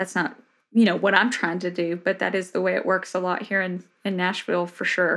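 In a Tennessee accent, a woman talks at a fairly quick pace with monotone, flat intonation. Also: medium pitch for a woman. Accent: Southern US (Tennessee). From rural Tennessee. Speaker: bluegrass musician. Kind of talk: casual interview chat.

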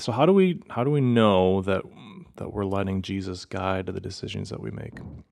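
A man talks at a moderate pace in an ordinary speaking voice, his intonation lively. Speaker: pastor. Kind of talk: casual chat.

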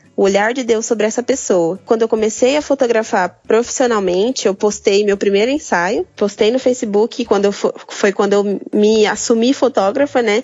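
With music in the background, a woman speaks at a moderate pace in a fairly high pitch. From Brazil, interior of São Paulo state. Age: 20s. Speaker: photographer and design student. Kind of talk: casual interview chat.

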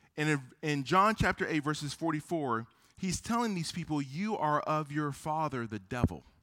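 In a very clean recording with a silent background, a man with a fairly high, bright, sharp voice speaks at a moderate pace with lively intonation. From Korea. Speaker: pastor. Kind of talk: sermon. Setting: church youth group with audience. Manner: animated.

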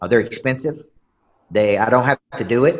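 The sound is dry and close, with no echo. A man talks at a medium pitch with ordinary pitch variation. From Tennessee. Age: 40s. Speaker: business coach and motivational speaker. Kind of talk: interview.

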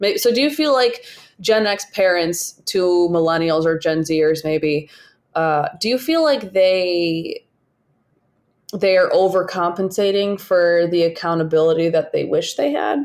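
At a fairly slow pace, a woman with an unremarkable speaking voice talks at medium pitch, her loudness very even and her intonation lively. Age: 30s. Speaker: podcast host, behavior analyst. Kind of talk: casual chat; reading aloud.

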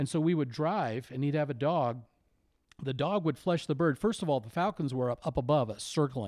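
Fairly high in pitch for a man, a plain, everyday voice moves at a fairly quick pace over a quiet background. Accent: American. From Iowa, US Midwest. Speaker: podcast producer. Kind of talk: casual chat.

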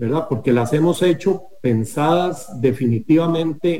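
A man with an unremarkable speaking voice, a fairly slow pace, and ordinary pitch variation. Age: 50s. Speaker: company executive. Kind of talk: radio interview. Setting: remote connection.

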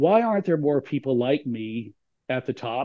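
A man with an American accent has a normal speaking voice, fairly high in pitch with lively intonation. The sound is dry and close with no echo, over a quiet background. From Texas. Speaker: author and LGBTQ career coach. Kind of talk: interview conversation.

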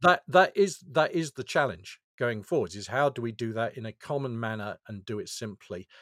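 In a dry, close sound with no echo, a man with a British accent speaks with lively intonation and big swings in loudness. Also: medium pitch for a man, moderate pace. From United Kingdom. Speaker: information security executive. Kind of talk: interview.

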